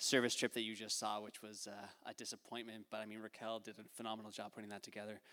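A man at a very fast pace with a bright, sharp tone. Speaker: missionary filmmaker. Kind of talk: testimony. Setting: church.

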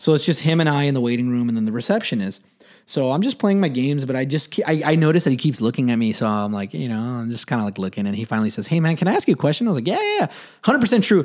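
Over noticeable background noise, a man talks very fast at a fairly high pitch with lively intonation. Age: 30s. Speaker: podcast co-host and new father. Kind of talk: casual chat. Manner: halting, many fillers and restarts.

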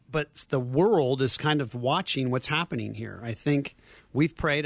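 Speaking in an ordinary speaking voice, a man talks at a moderate pace and medium pitch with ordinary pitch variation. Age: 50s. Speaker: ministry leader. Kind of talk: radio interview. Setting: studio.

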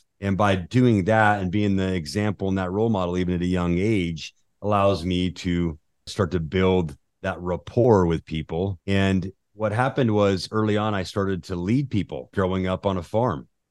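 A man with an American accent, very deep and low in pitch, with ordinary pitch variation at a moderate pace, in a dry, close sound with no echo and a quiet background. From Utah. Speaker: business leader and investor. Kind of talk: interview conversation.

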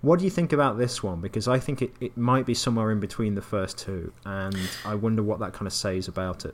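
A man with an English accent talks at a very fast pace with hardly any pauses and ordinary pitch variation. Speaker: podcast co-host, games writer. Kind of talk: casual chat.

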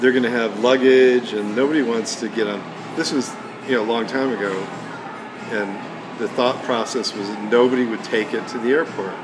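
A man speaks at a medium pitch with an American accent, fairly quickly and with fairly even intonation. Long, frequent pauses break up his speech, while noticeable background noise and audible room echo fill the recording. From US Midwest (Detroit). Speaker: retired watch collector. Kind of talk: casual chat.

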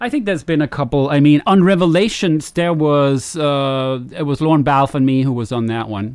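In a Danish accent, a man speaks at a moderate pace with hardly any pauses, a fairly high pitch and ordinary pitch variation, on a very clean recording with a silent background. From Denmark. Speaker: video game composer. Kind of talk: interview.

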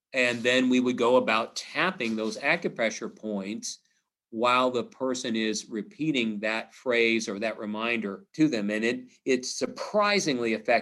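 A man speaks with an American accent at a medium pitch and a moderate pace. His tone is bright and sharp, with ordinary pitch variation. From Missouri, US. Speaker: psychologist. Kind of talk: interview. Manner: halting.

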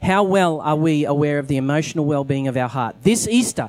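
A man with an Australian accent speaks in a fairly high pitch for a man, his intonation lively. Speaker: pastor. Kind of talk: sermon. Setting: church.

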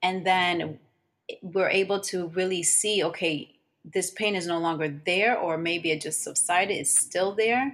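A woman with a New Jersey accent speaks at a fairly slow pace. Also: medium pitch for a woman, ordinary pitch variation. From New Jersey, Elizabeth. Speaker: holistic practitioner. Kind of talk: interview.

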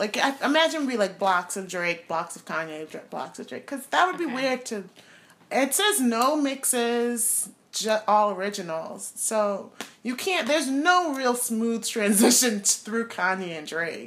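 Her tone animated and her pitch fairly high, a woman speaks with very wide pitch swings and big swings in loudness. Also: moderate pace. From Trinidad. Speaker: podcast co-host. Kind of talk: casual chat. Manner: animated, joking.

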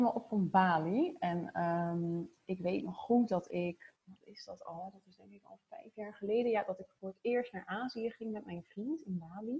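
Her tone dark and mellow, a woman speaks fairly slowly at a medium pitch, somewhat breathy. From Zoetermeer, near The Hague, Netherlands. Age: 30s. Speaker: marketing consultant. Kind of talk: casual interview.

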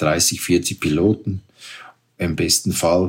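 This man's voice sits at a very deep, low pitch. His intonation stays fairly even. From Switzerland. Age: 60s. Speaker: paragliding pilot and hotel owner. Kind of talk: interview. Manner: halting.

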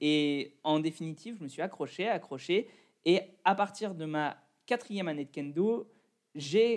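A man speaks at a high pitch with ordinary pitch variation. He moves at a fairly slow pace, leaving long, frequent pauses. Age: 20s. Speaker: kendo athlete and fitness coach. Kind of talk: interview.

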